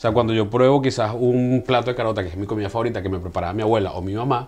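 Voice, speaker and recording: A somewhat breathy voice with ordinary pitch variation. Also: man. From Venezuela. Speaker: podcast host. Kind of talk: interview. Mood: warm, enthusiastic. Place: studio. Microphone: lapel.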